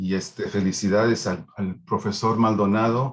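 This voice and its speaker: With monotone, flat intonation, a man talks fairly slowly in a fairly low pitch. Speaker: academic audience member. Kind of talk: seminar question.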